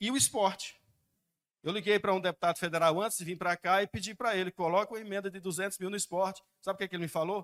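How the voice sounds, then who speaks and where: A high-pitched male voice at a very fast pace, with fairly even intonation and a dry, close sound with no echo. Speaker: citizen speaking at public hearing. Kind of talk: public hearing comment.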